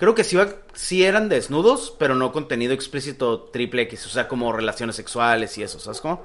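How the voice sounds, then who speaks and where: Speaking fairly quickly with a Mexican accent, a man uses a medium pitch and very wide pitch swings. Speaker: podcast host. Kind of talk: casual chat.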